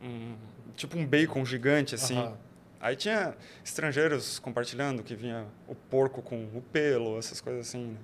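A man with a plain, everyday voice talks at a moderate pace and medium pitch, with ordinary pitch variation and big swings in loudness. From Brazil, Joinville (Santa Catarina). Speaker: entrepreneur, international relations graduate. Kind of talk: casual interview chat.

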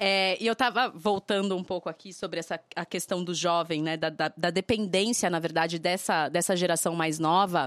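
In a very clean recording with a silent background, a woman with a fairly low pitch speaks at a moderate pace, fairly even in intonation and with hardly any pauses. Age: 30s. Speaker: podcast co-host. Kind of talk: casual chat.

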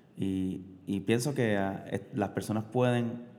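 Audible room echo surrounds this man's voice. He talks fairly slowly at a fairly low pitch with ordinary pitch variation. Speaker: podcast guest, host's husband. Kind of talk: casual chat. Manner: halting.

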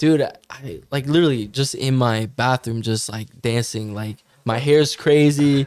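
A man speaks in a normal speaking voice at a medium pitch with ordinary pitch variation. His pace is fairly slow, with hardly any pauses. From Canada, Ottawa. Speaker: musician. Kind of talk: casual chat.

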